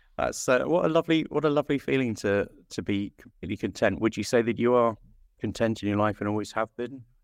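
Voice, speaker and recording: This man speaks very fast with an English accent. His medium pitch carries lively intonation. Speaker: interviewer and producer. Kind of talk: casual interview.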